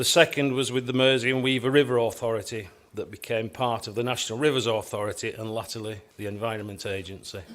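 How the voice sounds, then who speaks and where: A man with a Lancashire accent, medium in pitch and fairly quick in pace. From northern England, Wigan, Lancashire. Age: 60s. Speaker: structural engineer, business owner. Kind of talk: conference keynote address. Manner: formal.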